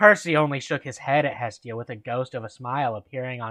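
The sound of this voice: The voice reads without forcing anything. It is an unforced reading voice.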